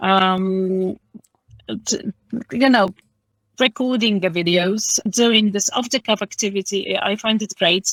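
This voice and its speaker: With a Polish accent, a woman speaks at a very slow pace with long, frequent pauses and fairly even intonation, her sound dry and close with no echo. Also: medium pitch for a woman. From Poland. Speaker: English teacher. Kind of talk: interview. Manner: hesitant, many fillers.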